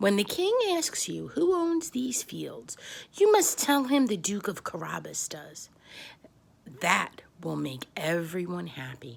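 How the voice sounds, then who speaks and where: The voice sounds female and is a put-on character voice. It moves at a fairly slow pace. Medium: read story. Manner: polite, crafty.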